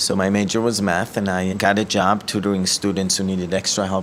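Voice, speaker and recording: Over noticeable background noise, a man with an Israeli accent speaks at a fairly low pitch with fairly even intonation. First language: Hebrew. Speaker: ministry director. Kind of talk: testimony. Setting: office.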